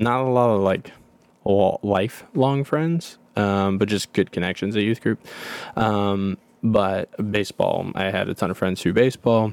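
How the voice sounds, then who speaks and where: In a plain, everyday voice, a man with an American accent speaks fairly slowly at a fairly low pitch with ordinary pitch variation, the sound dry and close with no echo. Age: 30s. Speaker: podcast co-host. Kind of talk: personal testimony. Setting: home closet.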